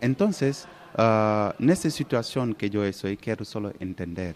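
Fairly slow speech from a man with a fairly low pitch and ordinary pitch variation. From Senegal. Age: 20s. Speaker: professional footballer. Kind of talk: interview. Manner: halting, many fillers.

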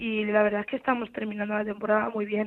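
At a very fast pace, a woman talks in a fairly high pitch. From Albacete, Spain. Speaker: footballer. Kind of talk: interview.

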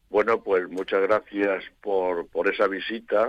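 A man speaks at a very slow pace. The sound is dry and close, with no echo. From Spain, Elche (Valencian region). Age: 80s+. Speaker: painter. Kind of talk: radio interview. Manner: halting.

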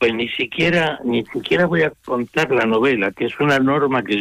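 The sound is dry and close with no echo. A man speaks in a plain, everyday voice at a moderate pace with ordinary pitch variation. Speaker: novelist. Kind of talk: radio interview.

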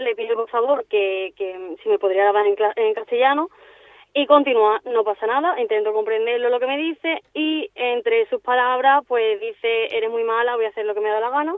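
A woman speaks in a high voice with lively intonation. Her pace is fairly quick. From Seville, Andalusia, Spain. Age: 20s. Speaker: football referee. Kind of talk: radio interview. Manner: halting.

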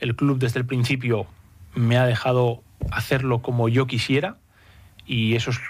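A man with an unremarkable speaking voice talks in a medium pitch with fairly even intonation. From Spain, Basque Country (San Sebastián). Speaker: football sporting director. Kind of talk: radio interview. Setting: studio.

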